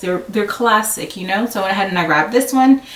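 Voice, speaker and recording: Over noticeable background noise and audible room echo, a woman speaks at a fairly high pitch. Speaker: sewing vlogger. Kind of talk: haul video tutorial-style chat. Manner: fast; casual with many fillers.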